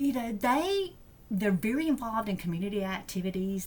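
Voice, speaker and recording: In an Alabama accent, a woman talks at a moderate pace with fairly even intonation. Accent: Southern US (Alabama). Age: 60s. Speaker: deacon. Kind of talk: podcast interview. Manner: halting.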